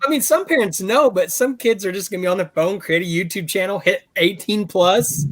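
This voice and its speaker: The speaker has an American accent and lively intonation. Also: man, high pitch for a man, fairly quick pace, hardly any pauses. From Texas. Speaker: toy collector YouTuber. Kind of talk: casual chat.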